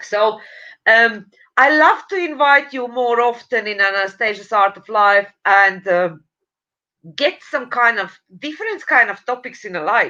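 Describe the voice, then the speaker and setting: Bright and sharp in tone, a woman's fairly high voice moves at a fairly slow pace with lively intonation and big swings in loudness. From Latvia. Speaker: online show host. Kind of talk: interview. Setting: live stream.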